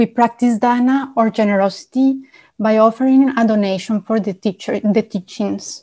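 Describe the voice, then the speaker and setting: A woman speaks at a moderate pace in a dark, mellow tone that is somewhat breathy, with fairly even intonation. The recording is very clean, with a silent background. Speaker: retreat staff member. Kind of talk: reading an announcement about donations. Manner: formal, measured.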